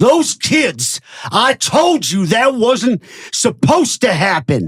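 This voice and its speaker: In a growling, put-on character voice, someone speaks at a very slow pace with very wide pitch swings. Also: man, extremely high pitch for a man. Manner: growling, menacing.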